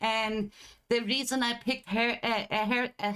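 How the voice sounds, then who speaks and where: A woman with a German accent speaks at a moderate pace and a fairly high pitch. Her intonation stays fairly even. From Germany. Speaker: streamer. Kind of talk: live stream chat. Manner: halting.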